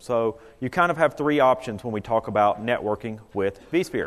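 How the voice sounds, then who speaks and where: His pitch rises and falls very widely as the man talks, neither fast nor slow. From US South, North Carolina. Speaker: IT consultant presenter. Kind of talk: conference presentation. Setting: conference room with audience. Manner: casual, conversational.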